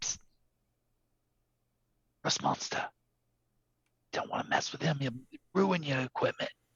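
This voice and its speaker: A man whispers in a raspy, put-on character voice. He keeps a moderate pace. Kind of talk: hushed, conspiratorial. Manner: whispering.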